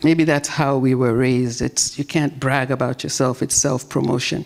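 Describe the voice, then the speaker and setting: A woman talks at a moderate pace while noticeable background noise carries on. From Nigeria, later Trinidad and Tobago. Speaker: conference speaker. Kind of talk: inspirational speech.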